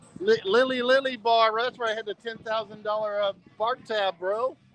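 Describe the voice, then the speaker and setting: Over music in the background, a man with an American accent and a high pitch for a man speaks at a fairly quick pace in a dry, close sound with no echo. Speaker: travel live streamer. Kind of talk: casual live stream.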